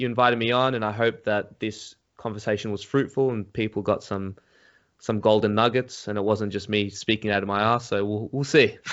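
A man with an Australian accent at medium pitch, with fairly even intonation and a fairly quick pace. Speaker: psychedelics YouTuber. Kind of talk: casual chat.

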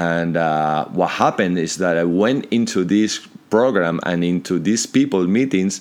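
Barely pausing, a man with a Spanish accent speaks at a very deep, low pitch with lively intonation. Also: fairly slow pace. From Spain, Madrid. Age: 50s. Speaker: entrepreneur. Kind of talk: interview.

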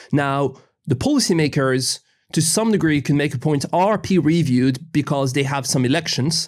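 With a French accent, a man speaks at a moderate pace and a fairly high pitch, using ordinary pitch variation and very even loudness. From France. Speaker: law professor. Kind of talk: interview.

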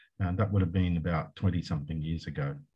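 Speaking with an Australian accent, a man uses a very deep, low pitch. His pace is fairly quick, with ordinary pitch variation. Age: 60s. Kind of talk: casual interview. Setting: video call.

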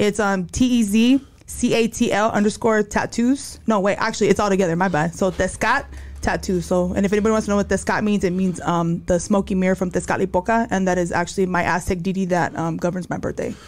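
With music in the background, a woman speaks at a medium pitch and a fairly quick pace, her intonation fairly even and hardly any pauses in her speech. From New Mexico. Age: 40s. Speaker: security worker and tattoo artist. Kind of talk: casual chat. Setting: studio.

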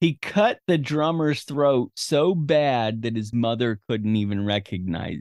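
A man with a normal speaking voice, medium in pitch, talks at a moderate pace with lively intonation. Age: 50s. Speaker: podcast host, movie review. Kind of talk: casual chat.

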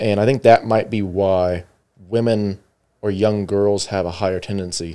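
A man's fairly low, dark and mellow voice in a flat monotone at a moderate pace. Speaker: podcast host. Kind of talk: casual chat. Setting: studio.

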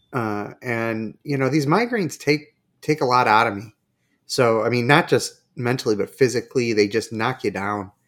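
Medium in pitch with ordinary variation, a man speaks at a moderate pace in an unremarkable speaking voice. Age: middle-aged. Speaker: podcast host. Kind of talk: casual chat.

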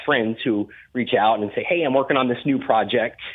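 Medium pitch and ordinary pitch variation in a man's unremarkable speaking voice. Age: 30s. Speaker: cannabis grower and consultant. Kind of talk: casual interview.

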